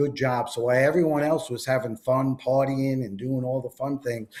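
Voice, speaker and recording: Medium in pitch, a man with a Long Island accent speaks with fairly even intonation. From New York, Long Island and Jersey Shore. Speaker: entrepreneur, network marketer. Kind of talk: interview.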